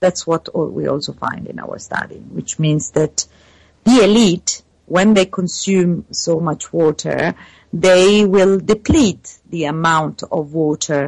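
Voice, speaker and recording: A woman speaks in an Italian accent. Her pace is very slow. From Italy. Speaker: PhD researcher in water science. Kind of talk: interview. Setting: remote call. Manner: halting, many fillers.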